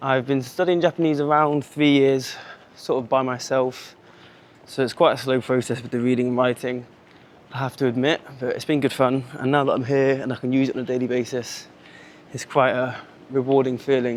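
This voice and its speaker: This man has a British accent and a medium pitch. He speaks at a fairly quick pace in a monotone, flat intonation. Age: 20s. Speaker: vlogger and English teacher. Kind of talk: casual walking vlog. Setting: outdoors walking in the city. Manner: casual, natural.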